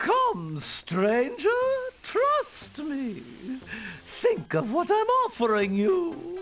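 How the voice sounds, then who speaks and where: A woman speaks in a put-on character voice, high-pitched with very wide swings in pitch. Her delivery is very slow, broken by long, frequent pauses. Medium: video game. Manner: wheedling.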